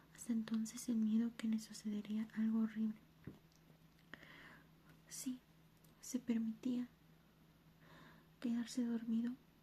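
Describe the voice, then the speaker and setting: Soft-spoken whispering with long, frequent pauses. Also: fairly slow pace. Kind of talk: ASMR soft-spoken reading of a book passage. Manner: soft-spoken, whispery.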